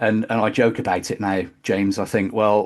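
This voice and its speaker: A man with a West Country accent and a fairly low pitch. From West Country, England (Bristol). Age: 50s. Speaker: metal drummer. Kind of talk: interview testimony. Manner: halting.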